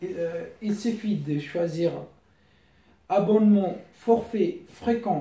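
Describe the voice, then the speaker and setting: In a room with audible echo, a man with a non-native accent speaks very slowly. His high voice has a dark, mellow tone and ordinary pitch variation. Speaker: YouTuber giving money-saving tips. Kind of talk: casual tutorial. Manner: halting.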